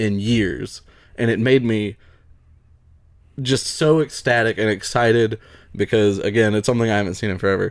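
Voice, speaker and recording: Speaking at a medium pitch, a man has a Southern US accent. His pace is fairly quick. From US South. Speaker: podcast host. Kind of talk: casual chat.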